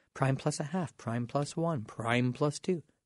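In a Canadian accent, a man with a fairly high pitch and ordinary pitch variation speaks at a fairly slow pace, somewhat breathy, in a dry, close sound with no echo and a quiet background. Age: 40s. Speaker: radio host and mortgage broker. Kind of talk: casual radio talk show monologue.

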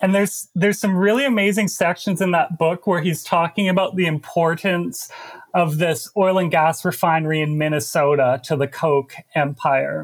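A man with a Canadian accent talks at a moderate pace and very even loudness. His pitch is high, with ordinary variation. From Canada, Alberta. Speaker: investigative journalist and author. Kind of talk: interview.

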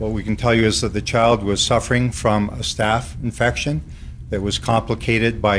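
This man has an unremarkable speaking voice. His pitch is fairly low, with ordinary variation. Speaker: police spokesperson. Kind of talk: press conference. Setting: press conference.

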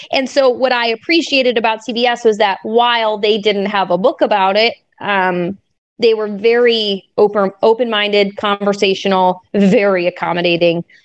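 A woman with an unremarkable speaking voice talks at a moderate pace, her fairly high pitch moving with ordinary variation and her loudness staying very even. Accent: American. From Minnesota. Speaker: sports broadcaster. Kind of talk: interview.

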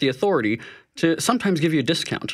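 A man talks very fast in a fairly high voice with a Canadian accent, his pitch swinging very widely. Vocal fry runs through it, and the recording is very clean with a silent background. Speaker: money-saving expert. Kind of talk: interview. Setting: studio.

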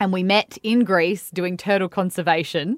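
Someone with an Australian accent speaks at a moderate pace with fairly even intonation. The sound is dry and close with no echo, on a very clean recording with a silent background. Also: woman. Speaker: radio host. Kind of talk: interview. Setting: studio. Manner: chatty, laughs often.

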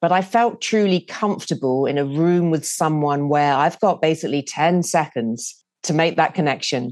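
A woman talks with a British accent in a very deep, low pitch. She keeps a moderate pace with ordinary pitch variation. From UK. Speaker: TV news producer. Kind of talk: interview.

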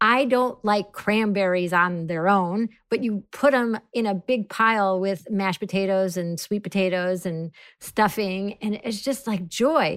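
A woman's normal speaking voice at a medium pitch, fairly slow yet with hardly any pauses, ordinary pitch variation, and a very clean recording with a silent background. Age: 40s. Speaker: comedian and actor. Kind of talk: casual chat.

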